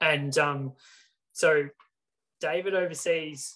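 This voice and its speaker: A man's Australian accent with fairly even intonation. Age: 20s. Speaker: professional triathlete. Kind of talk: casual chat.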